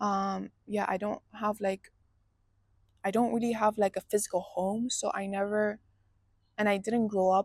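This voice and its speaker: Monotone, flat intonation is heard in a dry, close recording with no echo. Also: woman. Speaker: vlogger. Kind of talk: personal vlog monologue. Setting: indoors at home. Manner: slow.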